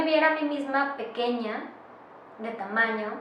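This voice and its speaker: Very slow in pace, a woman speaks with ordinary pitch variation. Audible room echo and noticeable background noise are present. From Mexico, Monterrey, Nuevo León. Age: 30s. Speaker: playwright and actress. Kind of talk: interview testimony. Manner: halting, many fillers and restarts.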